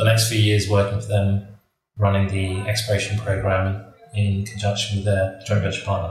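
Fairly low, somewhat breathy male voice, monotone and flat, at a moderate pace. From raised abroad by British parents (Trinidad, Mexico, Brazil, Kenya). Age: 50s. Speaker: mining entrepreneur. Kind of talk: interview.

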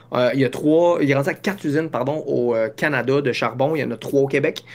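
A man with fairly even intonation. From Quebec. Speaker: business founder. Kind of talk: interview. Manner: halting.

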